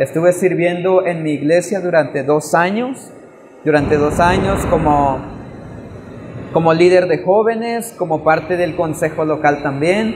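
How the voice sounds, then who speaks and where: The speech comes at a fairly slow pace. Noticeable background noise runs underneath. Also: man, high pitch for a man, ordinary pitch variation. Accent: Chiapas. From Chiapas, Mexico (Tseltal community). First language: Tseltal (speaking Spanish). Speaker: missionary. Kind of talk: testimony. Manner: halting.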